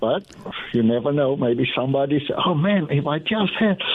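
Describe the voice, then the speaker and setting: A man with a Dutch accent speaks at a fairly slow pace. His pitch is fairly high and his intonation is lively. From Netherlands. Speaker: caller. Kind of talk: call-in radio chat. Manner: halting.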